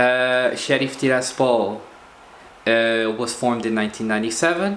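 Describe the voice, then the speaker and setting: A man's medium-pitched voice with a Portuguese accent, fairly slow and fairly even in intonation, amid noticeable background noise and audible room echo. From Portugal. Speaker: football video blogger. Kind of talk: casual commentary monologue. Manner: hesitant, many fillers.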